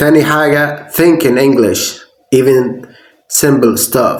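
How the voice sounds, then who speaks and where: At a moderate pace, a man speaks with fairly high pitch and fairly even intonation. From Egypt. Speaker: English teacher. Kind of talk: language tutorial talk to camera.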